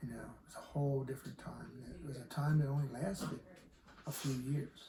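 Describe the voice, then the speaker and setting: A man with an American accent talks at a fairly quick pace in a fairly high pitch and fairly even intonation. His loudness swings widely amid noticeable background noise and audible room echo. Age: 70s. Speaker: Woodstock attendee. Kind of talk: interview. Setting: log cabin.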